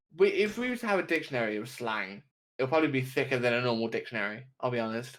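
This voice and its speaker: Talking at a very fast pace in a London accent, a man with a medium pitch uses lively intonation. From UK. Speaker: podcast co-host, gamer/streamer. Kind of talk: casual chat. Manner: halting, repetitive stammers.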